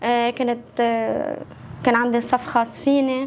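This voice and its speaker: A woman with a Lebanese accent speaks at a fairly slow pace, her high pitch kept in fairly even intonation. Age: 20s. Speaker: social media creator and singer. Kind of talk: casual interview.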